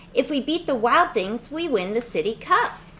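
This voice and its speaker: A woman's put-on character voice, high-pitched, over clear background noise. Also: moderate pace. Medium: read story.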